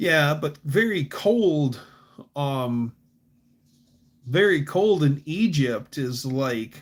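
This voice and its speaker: A man speaks very slowly at a fairly high pitch, with lively intonation. Long pauses come often. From Michigan, US Midwest. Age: 40s. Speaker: livestreamer, car hobbyist. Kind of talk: casual livestream chat. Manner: casual, halting with fillers.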